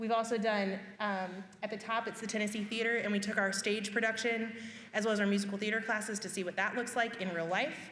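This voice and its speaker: A woman's fairly high, monotone voice with flat intonation at a very fast pace, with audible room echo and noticeable background noise. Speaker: high school career education staff. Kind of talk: parent information presentation.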